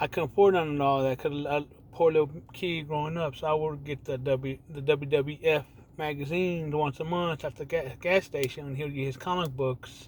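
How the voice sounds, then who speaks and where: An unremarkable speaking voice from a man with an American accent, fairly high in pitch, fairly even in intonation, at a moderate pace. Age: 40s. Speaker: gaming vlogger. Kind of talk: casual monologue. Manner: rambling with restarts.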